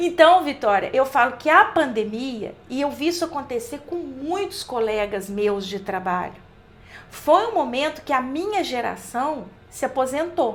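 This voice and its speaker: Very wide pitch swings mark a woman's high voice. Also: fairly slow pace. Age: 60s. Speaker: college professor. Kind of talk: podcast interview.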